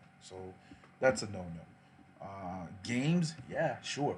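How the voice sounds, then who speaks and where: This man's intonation is lively. His voice is somewhat breathy. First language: not English. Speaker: youtuber. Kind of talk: livestream chat. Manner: casual.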